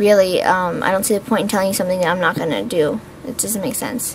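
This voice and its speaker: Over noticeable background noise, a woman with an American accent talks at a very fast pace with ordinary pitch variation. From Pittsburgh, Pennsylvania. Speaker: beauty vlogger. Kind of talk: casual vlog Q&A. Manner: chatty, with many fillers.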